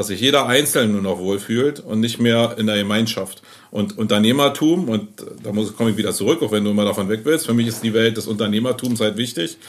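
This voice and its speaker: This man has a normal speaking voice with ordinary pitch variation and a medium pitch. He talks at a fairly quick pace. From Berlin. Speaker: agency owner. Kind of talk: casual chat. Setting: in his agency office.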